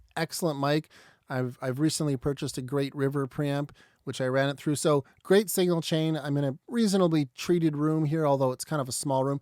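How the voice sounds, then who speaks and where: At a fairly quick pace, a man talks on a very clean recording with a silent background and a dry, close sound with no echo. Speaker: audio mixing engineer and video host. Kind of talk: tutorial. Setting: small treated home studio room. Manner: casual with many fillers.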